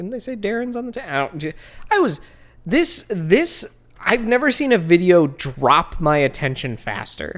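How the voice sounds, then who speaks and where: The voice has a Midwestern American accent. The pace is moderate. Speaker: podcast co-host. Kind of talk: casual comedic chat reviewing a video. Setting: studio.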